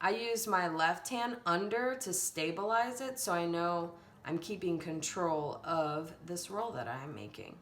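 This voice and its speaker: Fairly slow, fairly low-pitched speech from a woman, lively in intonation with hardly any pauses, in audible room echo. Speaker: elementary art teacher. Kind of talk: tutorial.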